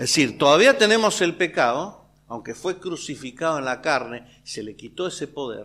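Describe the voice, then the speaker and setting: A man with a Rioplatense accent talks at a moderate pace with lively intonation. The recording is very clean, with a silent background. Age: 60s. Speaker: preacher. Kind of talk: sermon. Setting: church.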